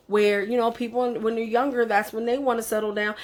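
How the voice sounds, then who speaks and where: A woman's fairly high-pitched voice in an animated tone. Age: 40s. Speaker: vlogger. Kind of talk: casual vlog monologue.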